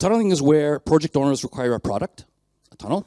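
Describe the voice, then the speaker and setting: A man's fairly high voice with a Canadian accent, a dark, mellow tone and very wide pitch swings, in a dry, close sound with no echo. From Canada. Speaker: mechanical engineer, conference speaker. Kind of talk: conference talk. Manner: fast.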